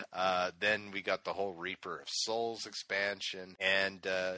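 A man's fairly low voice, bright and sharp in tone, with ordinary pitch variation and hardly any pauses. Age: 30s. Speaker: video game podcast host. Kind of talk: casual chat.

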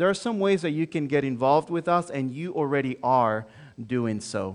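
This man's intonation is lively, and the background is quiet. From Dominican Republic, Santo Domingo. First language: Spanish. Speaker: pastor, church planter. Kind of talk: sermon. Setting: church.

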